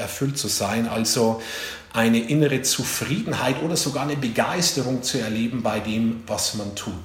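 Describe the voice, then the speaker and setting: A man is speaking in a room with audible echo. Noticeable background noise runs beneath his voice. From Bavarian Forest, eastern Bavaria. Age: 40s. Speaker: leadership coach and speaker. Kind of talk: talk to career advisors.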